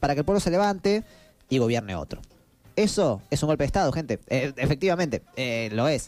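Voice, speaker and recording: A man with a Rioplatense accent, animated and fairly quick, fairly high in pitch with very wide swings, music playing behind him. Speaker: podcast co-host. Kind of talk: casual chat. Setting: studio.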